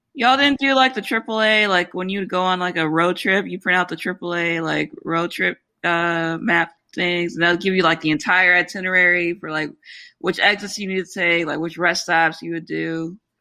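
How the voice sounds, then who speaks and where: A woman speaks in an ordinary speaking voice, fairly low-pitched, at a moderate pace with ordinary pitch variation over a quiet background. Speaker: physician podcast host. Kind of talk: casual chat.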